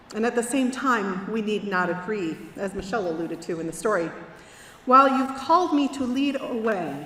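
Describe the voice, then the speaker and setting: Noticeable background noise along with audible room echo. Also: woman. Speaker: minister. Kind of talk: sermon. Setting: church.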